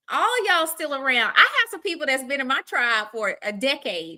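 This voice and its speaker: A woman with an American accent speaks in a high, raised, projected voice. Her tone is bright, sharp and animated. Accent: Southern US, once thick, now lighter. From Arkansas, US South. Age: 40s. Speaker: livestream host. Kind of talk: casual chat. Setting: live stream.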